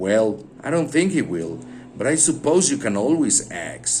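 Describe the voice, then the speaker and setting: A man's growling, put-on character voice, fairly high in pitch with very wide pitch swings, at a moderate pace. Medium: read story. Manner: growling, curt, grudging.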